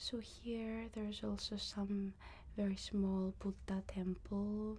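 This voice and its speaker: The woman is soft-spoken. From Greece. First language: Greek. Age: 20s. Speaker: ASMR creator and online Korean teacher. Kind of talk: casual talk to camera, travel vlog.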